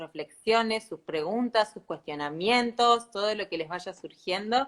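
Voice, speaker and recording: Bright and sharp in tone, a woman speaks at a fairly slow pace and a medium pitch with ordinary variation. The recording is very clean, with a silent background. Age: 40s. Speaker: sustainability consultant. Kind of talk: casual chat.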